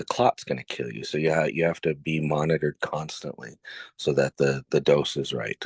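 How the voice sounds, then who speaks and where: This man has a very deep, low voice with vocal fry. The sound is dry and close with no echo, and the background is quiet. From Mexico. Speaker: pharmacogenomics researcher. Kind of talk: interview. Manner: explanatory.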